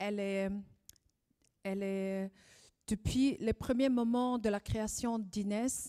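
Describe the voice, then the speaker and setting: A woman's dark, mellow voice at a very slow pace, broken by long, frequent pauses, in a dry, close sound with no echo. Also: medium pitch for a woman, fairly even intonation. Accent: Swiss German. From Zurich, Swiss German region. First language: Swiss German (speaking French). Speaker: event moderator. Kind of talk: event opening speech. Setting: live event with audience. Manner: hesitant, many fillers.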